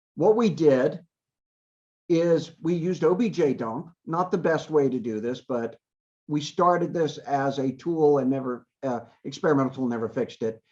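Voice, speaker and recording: Moving at a moderate pace, a man with a fairly high pitch and an unremarkable speaking voice uses lively intonation. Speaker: university computer security researcher. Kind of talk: lecture.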